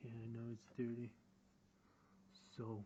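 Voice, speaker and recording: With a non-native accent, a man speaks very slowly in a somewhat breathy voice with a dark, mellow tone. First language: not English. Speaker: car DIY hobbyist. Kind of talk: casual how-to explanation to camera.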